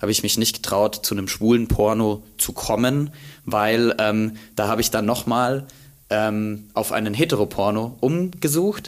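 At a moderate pace, a man talks with a slight Bavarian accent. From Bavaria, Germany. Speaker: content creator. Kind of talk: casual interview. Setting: university archive room.

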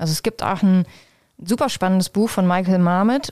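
The woman speaks at a fairly quick pace with a medium pitch. Her tone is dark and mellow, with ordinary pitch variation. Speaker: professor of health services research. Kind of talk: interview. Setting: office at a university.

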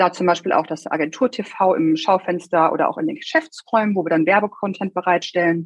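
At a fairly quick pace, a plain, everyday voice carries ordinary pitch variation. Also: woman, medium pitch for a woman. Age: 30s. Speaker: regional marketing manager at an insurer. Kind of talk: interview.

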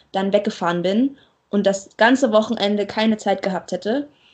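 Her fairly high pitch carries ordinary variation as the woman speaks. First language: not German (speaking German). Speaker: marine science student podcaster. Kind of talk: casual chat.

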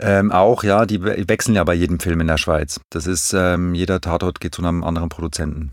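The recording is very clean, with a silent background. A man with a very deep, low pitch talks in fairly even intonation, with hardly any pauses. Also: fairly quick pace. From Switzerland, Zurich. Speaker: film and TV director. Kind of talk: casual interview.

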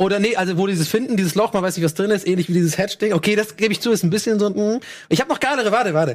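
Animated in tone, a man with a high pitch and ordinary pitch variation speaks very fast. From Ireland. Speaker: podcast co-host. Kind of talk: casual chat.

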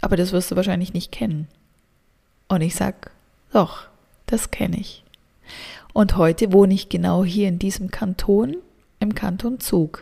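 A dark, mellow, somewhat breathy voice at a moderate pace, ordinary in pitch variation, with long, frequent pauses. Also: woman, medium pitch for a woman. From southern Germany. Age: 30s. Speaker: energy work coach. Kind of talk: podcast monologue. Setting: home studio.

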